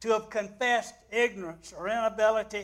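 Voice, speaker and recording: The man's voice is high in pitch. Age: 80s+. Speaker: guest preacher. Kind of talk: sermon. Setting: church. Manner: slow.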